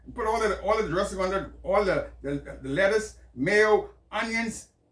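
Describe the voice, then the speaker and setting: This man has a high pitch, a Bahamian accent and ordinary pitch variation. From Bahamas, Nassau. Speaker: podcast host. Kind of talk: personal storytelling monologue. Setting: small home office, on camera. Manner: halting, many repetitions.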